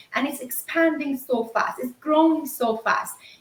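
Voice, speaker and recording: A woman speaks with lively intonation. Her pitch is high. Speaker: network marketing entrepreneur. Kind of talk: pitch in live-stream interview. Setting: live stream. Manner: fast.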